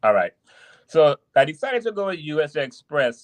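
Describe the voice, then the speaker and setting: In a Trinidadian accent, a man speaks with lively intonation in a dry, close sound with no echo. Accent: Trinidadian island. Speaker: truck driver. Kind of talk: podcast interview. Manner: halting, many restarts.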